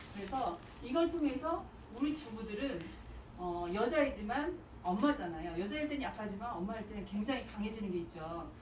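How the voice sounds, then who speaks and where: Noticeable background noise and audible room echo fill the recording. A woman with a fairly high pitch talks at a fairly quick pace, her pitch swinging very widely. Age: 60s. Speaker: mother giving a testimony. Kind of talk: testimony.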